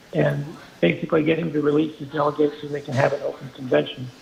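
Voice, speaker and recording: A man talks at a fairly quick pace in a fairly high pitch, his intonation fairly even, as noticeable background noise runs underneath. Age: 80s+. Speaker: caller. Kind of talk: call-in opinion.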